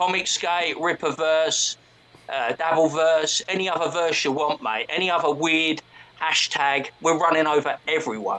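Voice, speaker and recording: Over noticeable background noise, a man with a strong British accent talks at a moderate pace, his fairly high voice showing ordinary pitch variation. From southern England. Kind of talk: casual chat. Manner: brash.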